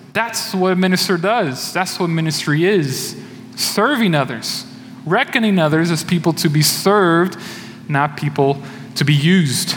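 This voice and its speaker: The voice of a high-pitched man holds a very even loudness with ordinary pitch variation. Audible room echo and noticeable background noise surround him. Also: moderate pace. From Brazil. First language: Portuguese. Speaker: church elder, lay preacher. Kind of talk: sermon. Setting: church.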